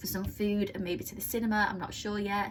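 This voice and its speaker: A woman's medium-pitched voice comes through over noticeable background noise. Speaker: budgeting vlogger. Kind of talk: casual vlog tutorial. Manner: fast; hesitant with many fillers.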